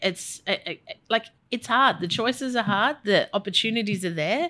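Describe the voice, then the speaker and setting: With an Australian accent, a woman speaks at a moderate pace in a fairly high pitch and lively intonation. Her tone is bright and sharp, and the recording is very clean with a silent background. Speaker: music industry executive. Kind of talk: interview conversation.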